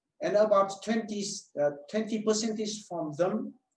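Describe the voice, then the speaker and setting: The speaker has a Vietnamese accent. Pitch varies in an ordinary way. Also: man. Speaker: medical doctor and telehealth clinic owner. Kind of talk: webinar presentation. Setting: online webinar.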